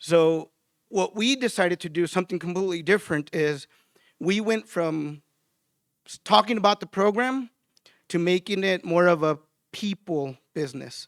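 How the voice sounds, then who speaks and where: Loud and high-pitched, a man talks at a moderate pace with ordinary pitch variation and long, frequent pauses, on a very clean recording with a silent background and a dry, close sound with no echo. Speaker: utility design trainer. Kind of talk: conference presentation.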